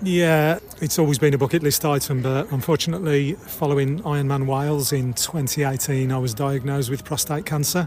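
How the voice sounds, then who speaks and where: Somewhat breathy, the speech moves at a fairly quick pace with hardly any pauses. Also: man, fairly high pitch for a man. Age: 60s. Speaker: amateur ultra runner. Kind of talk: interview.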